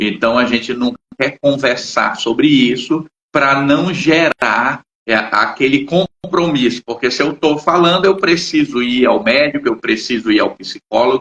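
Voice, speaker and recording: Speaking at a fairly slow pace in a fairly high pitch, a man uses a plain, everyday voice with very even loudness and ordinary pitch variation. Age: 60s. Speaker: psychologist and channel host. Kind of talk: casual chat. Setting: live stream.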